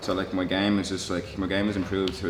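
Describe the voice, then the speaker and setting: A man with a very deep, low pitch amid noticeable background noise and audible room echo. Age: 20s. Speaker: mixed martial artist. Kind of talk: interview. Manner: halting, with many fillers and repeated words.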